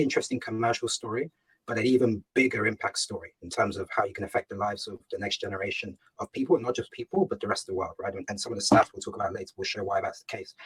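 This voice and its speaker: A man with a British accent talking at a very fast pace. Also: dry, close sound with no echo. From England, UK (Ghanaian heritage). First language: Ga. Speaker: startup founder and CEO. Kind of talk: fireside chat interview. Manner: hesitant, many fillers and repetitions.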